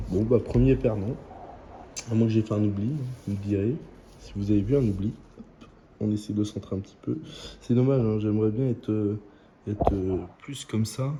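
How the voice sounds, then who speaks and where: A man speaks quietly at a moderate pace in a fairly low, somewhat breathy voice with a dark, mellow tone, ordinary pitch variation, big swings in loudness, and long, frequent pauses. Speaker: scratch-card YouTuber. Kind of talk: casual vlog commentary. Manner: hesitant.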